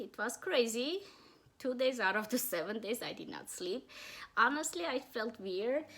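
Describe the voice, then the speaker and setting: A woman's high voice at a moderate pace, with lively intonation. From Armenia. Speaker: cross-stitch vlogger. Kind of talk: casual show-and-tell video. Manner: halting, many restarts.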